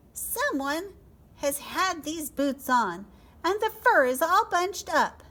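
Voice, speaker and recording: A squeaky, put-on character voice, female-sounding and extremely high-pitched for a woman, at a fairly slow pace. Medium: read story.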